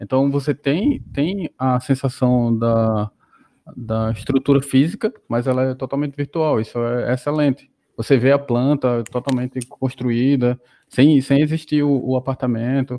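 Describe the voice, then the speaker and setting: Speaking fairly slowly, a man uses a medium pitch and fairly even intonation. The sound is dry and close, with no echo. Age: 30s. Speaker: mechatronics engineer and gamification researcher. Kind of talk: casual interview chat. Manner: halting, many repetitions and fillers.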